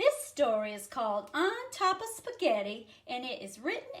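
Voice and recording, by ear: Someone reads the text aloud in a natural voice.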